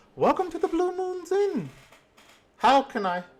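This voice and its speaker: Extremely high and squeaky, this is a put-on character voice. Its pace is moderate. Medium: actual play. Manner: chatty, friendly.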